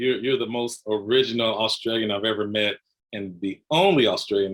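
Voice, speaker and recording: This man has a Southern US accent and talks at a fairly quick pace. His pitch is medium, with ordinary variation. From Tennessee, US South. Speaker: financial educator and coach. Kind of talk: casual interview chat.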